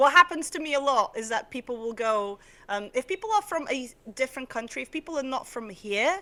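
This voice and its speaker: A woman speaks in a raised, projected voice at a fairly quick pace. Her high pitch rises and falls in very wide swings. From southern Portugal. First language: Portuguese. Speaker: UX graphic designer, streamer. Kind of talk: casual interview chat.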